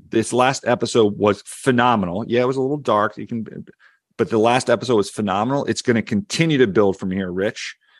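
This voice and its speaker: Against a quiet background, a man with a Philadelphia accent talks at a fairly quick pace and medium pitch, with ordinary pitch variation and a dry, close sound with no echo. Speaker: media and tech analyst, podcast co-host. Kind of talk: casual chat.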